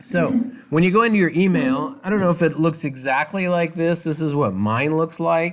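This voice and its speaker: The recording is very clean, with a silent background. A man speaks loudly. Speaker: college instructor. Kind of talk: lecture. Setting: classroom.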